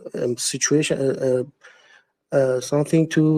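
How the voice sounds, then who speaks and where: Speaking with a non-native accent, the man has a dark, mellow tone. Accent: non-native English speaker. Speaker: trader. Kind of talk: live audio chat question. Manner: halting, many hesitations.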